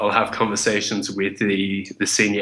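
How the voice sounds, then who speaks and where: In an Australian accent, a man speaks at a fairly low pitch with a bright, sharp tone, amid audible room echo. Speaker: chef, kickboxer and speaker writing a first book. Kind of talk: interview.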